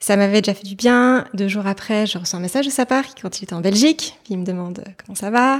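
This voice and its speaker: With a normal speaking voice, a woman talks at a fairly quick pace and medium pitch, showing ordinary pitch variation, hardly any pauses and big swings in loudness. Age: 30s. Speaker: mother sharing her story. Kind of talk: personal testimony interview.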